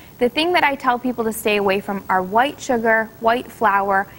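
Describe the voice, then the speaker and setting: A woman's fairly high voice with an American accent at a moderate pace. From US Midwest, Michigan. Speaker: cookbook author and nurse. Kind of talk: TV talk show interview. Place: studio.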